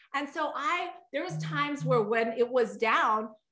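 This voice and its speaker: A woman speaks in a raised, projected voice with a bright, sharp, animated tone. Audible room echo follows her words. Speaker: network marketing leader. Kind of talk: sales pitch.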